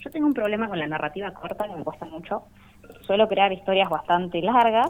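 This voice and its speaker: Noticeable background noise sits behind a woman at a medium pitch. Her intonation is lively. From Rawson, Chubut, Argentina. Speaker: comic artist. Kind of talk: radio interview.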